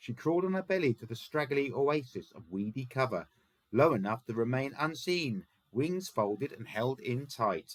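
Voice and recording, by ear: The reader's intonation is lively while reading aloud in a natural voice.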